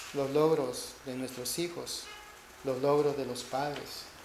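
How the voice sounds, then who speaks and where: Through audible room echo and noticeable background noise, a man speaks at a very slow pace with fairly even intonation. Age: 60s. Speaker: preacher. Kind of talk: sermon.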